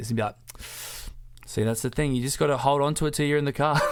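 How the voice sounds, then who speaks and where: A man speaks with an Australian accent and ordinary pitch variation. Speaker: podcast co-host. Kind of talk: casual chat. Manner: soft-spoken.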